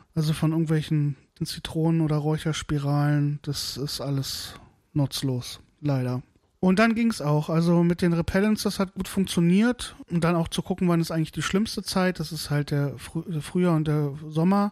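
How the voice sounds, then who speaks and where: A man with an ordinary speaking voice talks at a moderate pace, fairly high in pitch and with ordinary pitch variation. The recording is very clean, with a silent background. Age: 30s. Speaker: podcaster, smallholder. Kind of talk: solo podcast monologue. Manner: casual, chatty.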